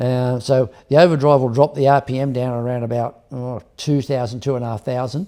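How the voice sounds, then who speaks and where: A man's dark, mellow tone with an Australian accent. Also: very clean recording, silent background. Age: 70s. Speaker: hot rod builder and drag racer. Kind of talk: casual interview chat. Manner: halting, many restarts.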